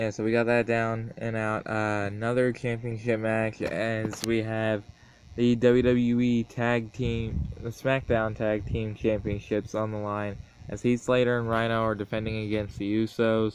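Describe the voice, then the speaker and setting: Quiet and at a fairly slow pace, a man speaks with monotone, flat intonation. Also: medium pitch for a man. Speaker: wrestling predictions vlogger. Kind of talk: casual monologue. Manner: hesitant.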